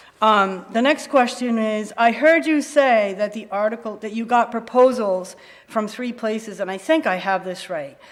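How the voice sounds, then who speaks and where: The speech moves at a moderate pace with hardly any pauses, ordinary pitch variation, and big swings in loudness, against noticeable background noise. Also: woman, fairly high pitch for a woman. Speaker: resident speaking at town meeting. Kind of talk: public comment at town meeting. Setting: town hall meeting with audience.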